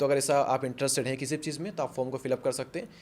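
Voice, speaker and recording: A man talks with an unremarkable speaking voice. His medium pitch has ordinary pitch variation. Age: 20s. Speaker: YouTuber and motivational speaker. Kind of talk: podcast interview.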